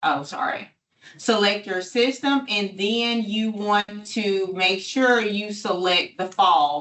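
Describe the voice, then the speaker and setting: A woman talks at a very slow pace, her medium pitch showing ordinary pitch variation. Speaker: state education program trainer. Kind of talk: training webinar walkthrough.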